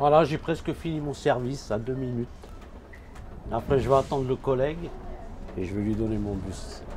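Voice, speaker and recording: Pausing long and often, a man with a medium pitch talks at a moderate pace with ordinary pitch variation. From France, Paris region. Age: 60s. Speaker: bus driver. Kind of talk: casual chat.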